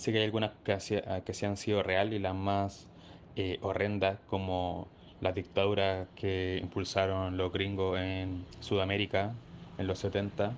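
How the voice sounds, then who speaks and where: A man with a Chilean accent speaks fairly slowly in a fairly low, flat monotone. The background is quiet. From Chile, Maipú (Santiago). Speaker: listener sending a voice note. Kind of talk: voice message anecdote.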